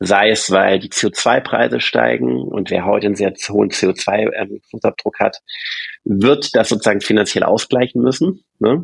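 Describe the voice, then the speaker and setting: In a dry, close recording with no echo, a man with a fairly low, fry-edged voice talks at a fairly slow pace while his pitch swings very widely. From Stuttgart, Swabia, Germany. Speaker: bank co-founder and CEO. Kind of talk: interview. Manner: hesitant, many fillers.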